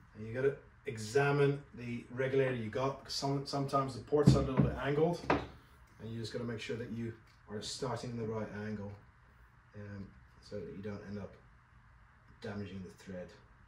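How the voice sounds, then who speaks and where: Loud background noise runs throughout. Over it, a man speaks at a fairly quick pace. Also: ordinary pitch variation. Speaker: dive gear instructor. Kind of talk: tutorial. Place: shop.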